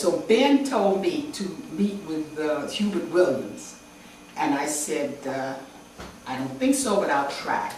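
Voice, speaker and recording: At a very slow pace with very wide pitch swings, someone speaks with an American accent amid audible room echo and noticeable background noise. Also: woman. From Chicago, US Midwest. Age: 80s+. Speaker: visual artist. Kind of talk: interview, telling stories of her past.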